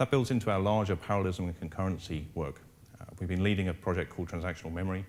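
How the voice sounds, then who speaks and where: A man's very deep, low voice in an English accent, very fast pace, fairly even intonation. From England, London. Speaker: engineering manager. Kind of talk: conference presentation.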